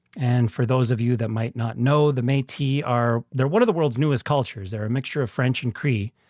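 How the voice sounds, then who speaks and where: A man with a Canadian prairie accent talks at a moderate pace, at a medium pitch with ordinary pitch variation and a somewhat breathy quality. The sound is dry and close with no echo, on a very clean recording with a silent background. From rural northern Saskatchewan, Canada. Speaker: actor and podcast host. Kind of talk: casual monologue.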